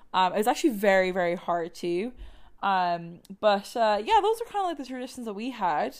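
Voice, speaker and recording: A woman speaks with an Irish accent at a fairly quick pace, her medium pitch carried by lively intonation. The recording is very clean, with a silent background. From Ireland. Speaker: podcast host. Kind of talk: casual chat mixed with read-out research narration. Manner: many fillers (um, like).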